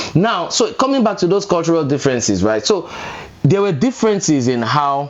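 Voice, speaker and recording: Speaking with a Nigerian accent, a man talks fairly quickly at a high pitch with very wide pitch swings and very even loudness, over noticeable background noise. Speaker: podcast co-host, married couple. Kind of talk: casual chat. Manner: animated.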